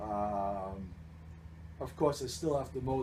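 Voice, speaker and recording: Lively intonation at a fairly slow pace, with audible room echo. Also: man. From New Jersey. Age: 60s. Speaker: baseball team general manager. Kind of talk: interview. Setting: radio broadcast.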